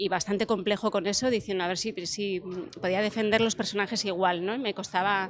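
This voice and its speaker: Speaking at a fairly quick pace, a woman has a Basque accent and a medium pitch. Her intonation is monotone and flat. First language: Basque (speaking Spanish). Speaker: actress. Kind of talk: interview. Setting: festival interview set.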